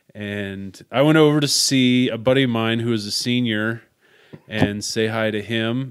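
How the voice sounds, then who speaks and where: This man's voice sits at a medium pitch with ordinary pitch variation, and he speaks at a fairly slow pace. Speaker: podcast host. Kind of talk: casual chat.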